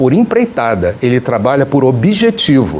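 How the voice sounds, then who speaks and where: Over noticeable background noise, the voice moves at a moderate pace with very wide pitch swings. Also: man. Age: 60s. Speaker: political candidate and pastor. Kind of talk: TV interview.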